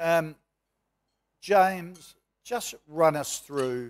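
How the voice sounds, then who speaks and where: The speaker has an Australian accent and ordinary pitch variation. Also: man. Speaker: moderator and businessman; moderator. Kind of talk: panel moderation. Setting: stage with audience. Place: hall.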